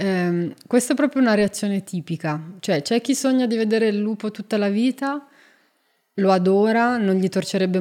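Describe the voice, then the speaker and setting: On a very clean recording with a silent background, a woman speaks at a moderate pace with a dark, mellow tone, medium pitch and ordinary pitch variation. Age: 40s. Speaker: zoologist and wolf expert. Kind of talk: casual interview chat.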